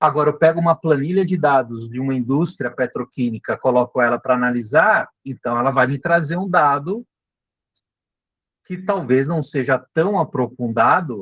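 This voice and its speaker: A man speaks in a plain, everyday voice at a fairly high pitch, moving at a fairly slow pace with lively intonation, the sound dry and close with no echo. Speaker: marketing instructor. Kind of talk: live online class. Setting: live video meeting.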